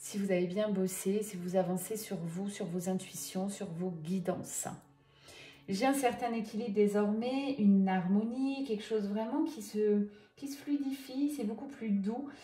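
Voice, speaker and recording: A soft-spoken woman with a gentle tone and a medium pitch talks at a fairly slow pace with ordinary pitch variation, music playing in the background and audible room echo. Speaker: medium doing tarot guidance. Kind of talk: card reading guidance. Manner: soft, gentle; hesitant, many fillers.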